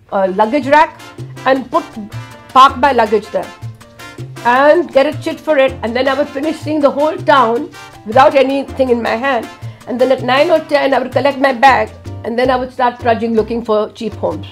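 A woman at a high pitch, moderate pace and ordinary pitch variation, with long, frequent pauses and faint music in the background. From India. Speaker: world traveller. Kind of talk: interview answer. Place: studio.

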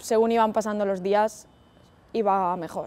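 Her voice is fairly high for a woman, with a dark, mellow tone, and she talks at a fairly slow pace. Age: 20s. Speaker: physiotherapist and stroke survivor. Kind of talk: testimony. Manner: hesitant, many fillers. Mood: calm, reflective. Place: garden.

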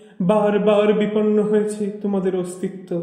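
The intonation is flat and monotone, with noticeable background noise behind the speaker. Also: man. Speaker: poetry reciter. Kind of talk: poetry reading.

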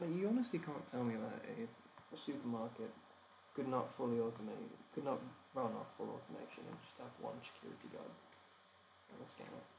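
Fairly quick speech from a man with an English accent, broken by long, frequent pauses, with big swings in loudness. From England. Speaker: animation streamer. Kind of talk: casual chat while working. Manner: halting.

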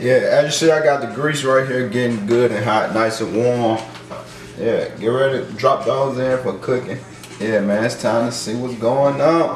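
A man speaks at a fairly slow pace with fairly even intonation, with audible room echo and light background noise. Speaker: home cook vlogger. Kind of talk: casual cooking tutorial. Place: kitchen.

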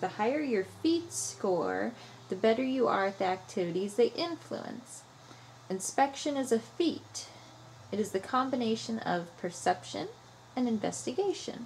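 A woman's voice with vocal fry and very wide pitch swings, at a moderate pace, over light background noise. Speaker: gamer streamer. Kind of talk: reading game text aloud while playing.

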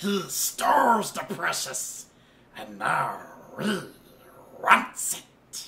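Speaking in a put-on character voice at a middle pitch, the delivery is very slow. Long pauses come frequently. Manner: obsessive, covetous.

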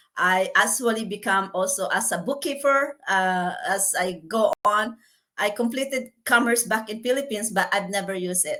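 A woman speaks at a fairly slow pace with a bright, sharp tone. Her pitch is fairly high and her intonation lively. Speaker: healthcare worker and online business owner. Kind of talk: interview.

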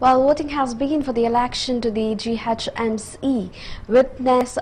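A woman's voice with ordinary pitch variation, against light background noise. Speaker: news anchor. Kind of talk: news reading. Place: studio. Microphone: lapel.

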